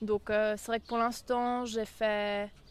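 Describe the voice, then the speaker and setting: A woman speaks at a very slow pace. Her fairly high pitch stays in a monotone, flat intonation. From Switzerland, Lake Geneva region. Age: 20s. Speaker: competitive sailor and law student. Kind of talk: interview. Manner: hesitant, many fillers.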